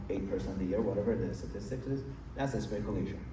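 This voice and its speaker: The recording carries noticeable background noise along with audible room echo. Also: man. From Iran. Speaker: real estate investor. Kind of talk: interview on stage.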